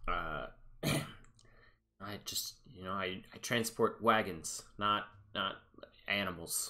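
A man performs a put-on character voice that is fairly low and raspy. He speaks very slowly, with long, frequent pauses. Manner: wary, fussy, grumbling.

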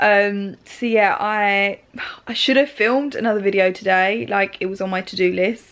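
At a moderate pace, a woman speaks. Her pitch variation is ordinary. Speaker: beauty vlogger. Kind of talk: casual vlog chat. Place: home room. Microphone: phone near.

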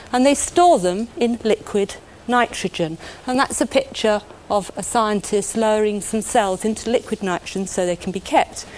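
A woman with a British accent speaks at a moderate pace with a fairly high pitch and lively intonation. Noticeable background noise runs under her voice. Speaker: chemistry presenter. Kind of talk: 1980s educational film narration. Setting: studio demonstration. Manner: warm, clear, measured teacher's delivery; simple, conversational explaining, direct address to 'you'.

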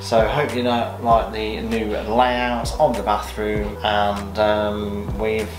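Clear music plays in the background as a man talks at a very slow pace in a fairly low voice. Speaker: home vlogger. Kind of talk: casual vlog chat. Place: bathroom. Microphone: phone near.

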